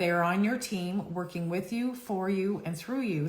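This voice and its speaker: Amid noticeable background noise and audible room echo, a woman speaks at medium pitch with ordinary pitch variation. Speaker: psychic card reader. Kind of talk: live stream card reading. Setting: Instagram live stream. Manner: fast.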